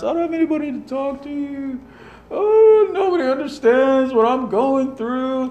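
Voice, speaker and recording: A whiny, high-pitched put-on character voice with a whiny tone, at a moderate pace. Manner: mocking, whiny.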